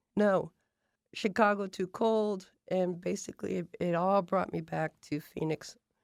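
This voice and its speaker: A woman with a normal speaking voice and a medium pitch talks at a fairly slow pace with fairly even intonation. The sound is dry and close with no echo, on a very clean recording with a silent background. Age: 60s. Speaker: chef. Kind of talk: interview.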